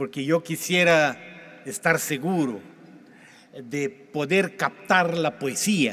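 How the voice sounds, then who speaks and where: A man with a Portuguese accent, fairly high in pitch with ordinary pitch variation, at a very slow pace. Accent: Portuguese-accented Spanish (portuñol). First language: Portuguese (speaking Spanish). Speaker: pastor. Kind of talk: sermon. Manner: halting.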